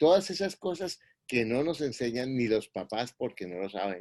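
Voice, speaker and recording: With a dark, mellow tone and lively intonation, a man talks at a moderate pace in a dry, close sound with no echo. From Colombia. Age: 60s. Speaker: real estate investor and mentor. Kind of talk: interview.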